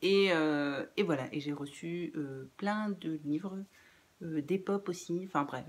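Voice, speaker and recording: Speaking very slowly, a woman keeps a fairly low pitch that varies in an ordinary way. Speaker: book youtuber. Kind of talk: casual vlog outro. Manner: halting, many hesitations.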